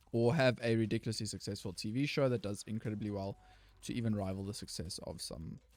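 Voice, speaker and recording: A man with a South African accent. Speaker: gaming YouTuber. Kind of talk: casual gameplay commentary.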